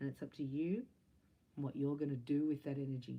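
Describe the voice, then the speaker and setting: A woman speaks with a very deep, low pitch. Her tone is dark and mellow. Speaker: psychic reader and Reiki teacher. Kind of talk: spiritual tarot-style reading. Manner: fast; animated.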